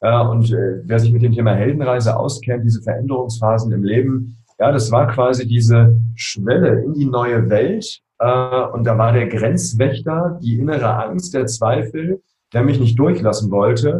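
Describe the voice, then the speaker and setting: Somewhat breathy and fairly slow, a man speaks at medium pitch in a dark, mellow tone with ordinary pitch variation. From Berlin (Spandau), Germany. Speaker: coach and emotion expert. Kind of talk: interview.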